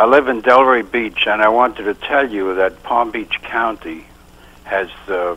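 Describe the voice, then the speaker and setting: A man with a Brooklyn accent at a medium pitch, speaking at a fairly slow pace with ordinary pitch variation. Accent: New York (Brooklyn). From New York City (Brooklyn, Bensonhurst). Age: 70s. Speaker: caller, retired dentist. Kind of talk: call-in talk show.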